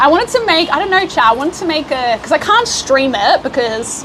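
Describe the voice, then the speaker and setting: A woman's voice with an Australian accent over noticeable background noise. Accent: Australian, obvious. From Australia, Melbourne. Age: 20s. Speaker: livestreamer. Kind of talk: casual chat. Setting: live stream while traveling. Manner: casual, chatty with fillers.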